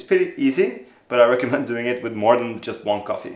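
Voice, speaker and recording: This man moves along at a fairly quick pace, and audible room echo surrounds his voice. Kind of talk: tutorial. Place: kitchen.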